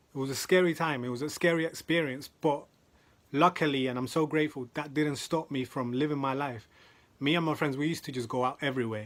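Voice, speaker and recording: A man speaks at a fairly quick pace in a London accent, his pitch medium and his intonation fairly even. The recording is very clean, with a silent background. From South London. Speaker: motivational speaker. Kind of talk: motivational talk.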